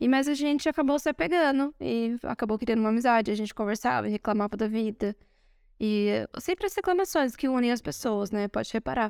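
Over a silent background on a very clean recording, a woman talks at a fairly quick pace with lively intonation and fairly high pitch. She has an unremarkable speaking voice, and the sound is dry and close with no echo. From Brazil. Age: 30s. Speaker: podcast co-host. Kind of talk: casual chat. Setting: recording in Rome.

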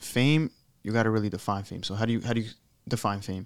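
Fairly even intonation marks this man's plain, everyday voice. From Europe, raised in Staten Island, New York. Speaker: rapper. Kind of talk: casual chat. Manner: casual, slangy.

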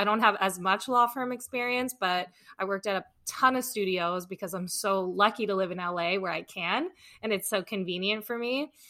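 In a very clean recording with a silent background, a woman with a Californian accent speaks at a moderate pace, her medium-pitched voice bright and sharp. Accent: Californian American. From Los Angeles. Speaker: entertainment lawyer. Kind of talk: casual interview.

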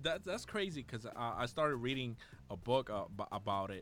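At a fairly quick pace, a man talks with vocal fry and very wide pitch swings. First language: Spanish. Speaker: podcast host. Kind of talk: casual interview. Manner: halting, many fillers.

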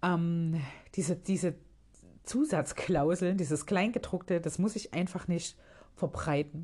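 A woman's dark, mellow, somewhat breathy voice sits at a fairly low pitch with ordinary pitch variation and very even loudness. She speaks very slowly against a quiet background. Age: 30s. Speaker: podcast host. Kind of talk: casual monologue. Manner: halting.

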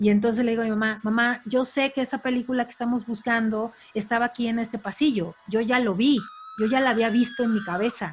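A woman with a fairly high pitch talks at a fairly quick pace and with fairly even intonation while music plays behind her. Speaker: podcast co-host. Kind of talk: casual chat.

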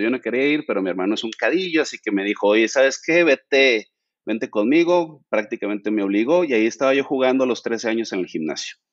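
An ordinary speaking voice from a man at medium pitch, fairly quick, with lively intonation and hardly any pauses. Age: 40s. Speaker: fitness content creator. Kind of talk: interview.

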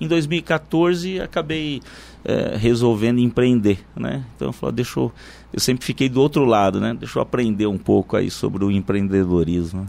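A man talks at a moderate pace and a medium pitch. His pitch swings very widely. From interior of São Paulo state, Brazil (Irapuru). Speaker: supermarket franchise owner. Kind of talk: radio interview. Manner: halting, with frequent repetitions.

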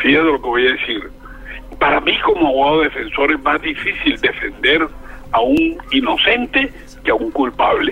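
A man speaks at a moderate pace with very even loudness. Background noise is noticeable. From Colombian Caribbean coast, Barranquilla. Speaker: criminal lawyer and former mayor. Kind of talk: interview. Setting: phone call.

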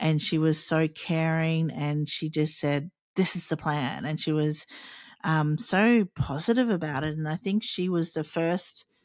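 A woman with an Australian accent speaks at a very slow pace in a very deep, low pitch. The recording is very clean, with a silent background and a dry, close sound with no echo. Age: 40s. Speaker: podcast host. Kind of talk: solo podcast monologue, personal storytelling. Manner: halting, hesitant with many fillers; casual, unpolished.

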